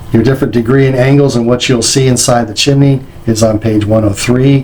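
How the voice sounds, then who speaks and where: Noticeable background noise accompanies a man speaking with an American accent at a medium pitch and fairly even intonation. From New Jersey. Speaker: company president and trainer. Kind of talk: training lecture. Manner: fast.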